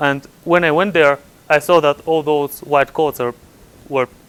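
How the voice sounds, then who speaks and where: A man with a Bulgarian accent speaks at a moderate pace, fairly high-pitched, with fairly even intonation and a dry, close sound with no echo. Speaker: computer scientist. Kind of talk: conference talk. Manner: halting, many repetitions.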